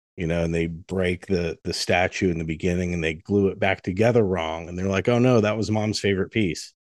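Against a quiet background, a man with a very deep, low pitch speaks with fairly even intonation and hardly any pauses. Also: fairly quick pace. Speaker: coaching client. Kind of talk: coaching session conversation.

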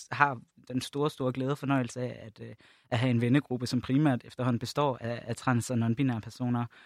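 A man speaks in an ordinary speaking voice at a medium pitch, fairly quick and with fairly even intonation. The recording is very clean with a silent background, dry and close with no echo. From Jutland, Denmark. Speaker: LGBT+ organisation project leader. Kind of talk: podcast panel discussion. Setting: studio.

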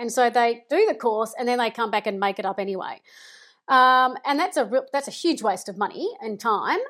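A woman talks at a moderate pace, her voice high and her intonation lively. The recording is very clean, with a silent background. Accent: Australian. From Melbourne, Australia. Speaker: project management consultant. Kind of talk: interview.

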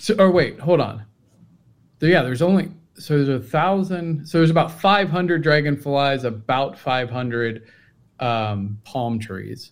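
At a moderate pace, a man with a plain, everyday voice speaks in a fairly high pitch with lively intonation. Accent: American. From Cincinnati, US. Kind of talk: casual livestream chat.

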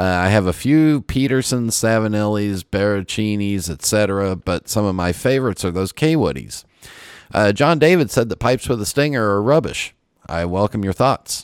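A plain, everyday voice from a man, fairly low in pitch, with lively intonation at a moderate pace on a very clean recording with a silent background. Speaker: podcast host. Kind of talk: casual chat.

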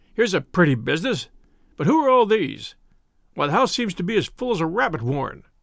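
In a very clean recording with a silent background, a man puts on a husky character voice, high-pitched, very fast and full of very wide pitch swings.

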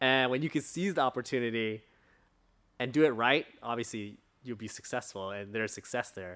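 With an American accent, a man of medium pitch talks fairly quickly and with ordinary pitch variation. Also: very clean recording, silent background. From Southern California, Orange County. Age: 30s. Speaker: entrepreneur, ice cream company CEO. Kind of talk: casual interview.

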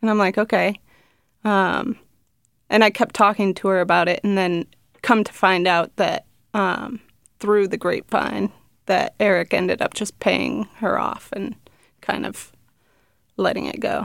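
With long, frequent pauses and a fairly slow pace, a woman of medium pitch speaks with vocal fry in a dry, close sound with no echo. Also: ordinary pitch variation, very clean recording, silent background. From New Hampshire. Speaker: guest, former addiction treatment employee and source. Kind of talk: interview conversation. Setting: studio. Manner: easygoing, laid back.

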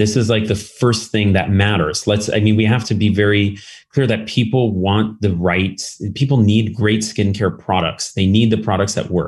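A man with an American accent talks at a moderate pace. His pitch sits fairly low. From California, Berkeley. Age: 40s. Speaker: beauty tech executive. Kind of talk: interview. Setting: video call. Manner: halting, many fillers.

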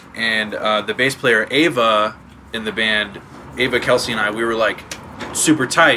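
Noticeable background noise accompanies a man whose intonation stays fairly level. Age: 20s. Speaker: touring drummer. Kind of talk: casual chat. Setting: field recording in a friend's house.

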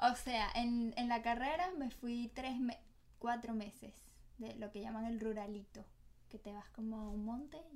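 At a fairly slow pace, a woman with a fairly high pitch uses a normal speaking voice with ordinary pitch variation. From Venezuela. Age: 20s. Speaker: doctor. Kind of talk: casual chat.

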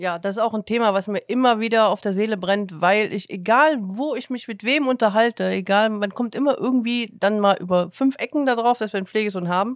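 A woman with an ordinary speaking voice talks at a fairly quick pace, with hardly any pauses. Her pitch is fairly high with ordinary variation, on a very clean recording with a silent background. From Saxony, Chemnitz. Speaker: podcast host, foster parent. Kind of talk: casual chat.

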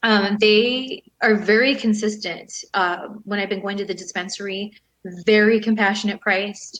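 This woman has an unremarkable speaking voice, medium in pitch, with an American accent. She talks at a moderate pace with fairly even intonation. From Southern California. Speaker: retired professional wrestler and model. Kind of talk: interview.

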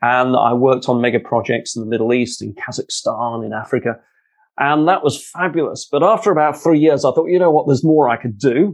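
A man with a London accent talks at a fairly quick pace, with a fairly high pitch and lively intonation. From London, England. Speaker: author and leadership speaker, former pilot. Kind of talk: interview conversation, storytelling.

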